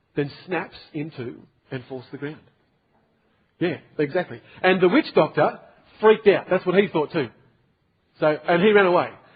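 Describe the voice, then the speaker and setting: The speaker talks at a moderate pace with an Australian accent, leaving long, frequent pauses. Loudness swings widely while pitch varies in an ordinary way. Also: man, high pitch for a man. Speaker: pastor. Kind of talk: sermon to a youth group. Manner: casual, storytelling.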